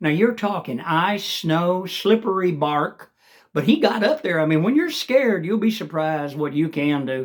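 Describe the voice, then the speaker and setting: A man talks at a moderate pace with a high pitch and lively intonation. The recording is very clean, the background silent. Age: 70s. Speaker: vlogger. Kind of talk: casual monologue. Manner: hesitant, many fillers.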